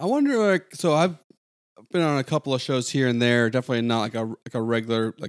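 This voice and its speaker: On a very clean, dry, close recording with a silent background and no echo, a man uses a plain, everyday voice at a medium pitch, with ordinary pitch variation and a fairly quick pace. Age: 30s. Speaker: podcast co-host. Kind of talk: casual chat.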